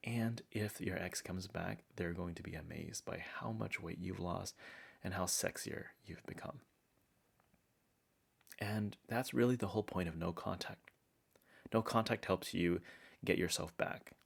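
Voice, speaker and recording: Soft-spoken and very deep, a man talks at a fairly slow pace with long, frequent pauses. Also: ordinary pitch variation. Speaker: relationship advice YouTuber. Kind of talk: conversational advice talk to camera.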